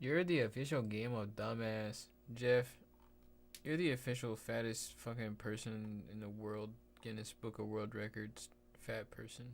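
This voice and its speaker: Speaking with an American accent, a man keeps a fairly slow pace and fairly even intonation. His pitch is medium, and the recording is very clean with a silent background. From Texas. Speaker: live streamer. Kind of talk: casual live stream chat. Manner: casual, laid-back; quiet, keeping voice down.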